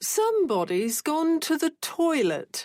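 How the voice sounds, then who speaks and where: A female-sounding, put-on character voice at an extremely high pitch speaks fairly slowly, with very wide pitch swings. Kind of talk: posh.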